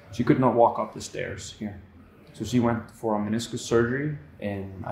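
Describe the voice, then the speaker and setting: A man speaks at a medium pitch with an Icelandic accent. Audible room echo surrounds his voice. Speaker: handstand coach. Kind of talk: casual interview. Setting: gym.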